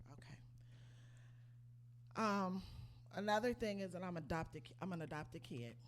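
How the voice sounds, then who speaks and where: A quiet woman's voice, fairly low-pitched, with very wide pitch swings, big shifts in loudness, long and frequent pauses, and audible room echo. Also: moderate pace. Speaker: lay church speaker giving inspirational message. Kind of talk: inspirational church talk with testimony.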